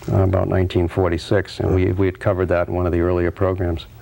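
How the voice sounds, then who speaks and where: Noticeable background noise sits under a man's very deep, low voice, which moves fairly quickly in a flat monotone. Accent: American. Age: 40s. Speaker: local historian. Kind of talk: casual interview.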